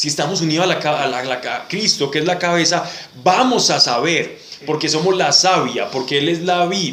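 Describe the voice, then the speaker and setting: With noticeable background noise and audible room echo, a man speaks at a high pitch with ordinary pitch variation. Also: moderate pace. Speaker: Bible study teacher. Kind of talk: Bible study class.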